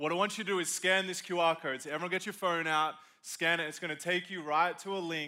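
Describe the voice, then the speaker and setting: In an Australian accent, a man with a high pitch talks at a very fast pace in an animated tone. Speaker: pastor. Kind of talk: sermon. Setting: stage with audience.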